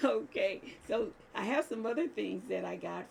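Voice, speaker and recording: Noticeable background noise sits behind the speech. A woman talks at a fairly slow pace. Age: 70s. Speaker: crafting channel host. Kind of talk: casual vlog talk to viewers. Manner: chatty, hesitant fillers.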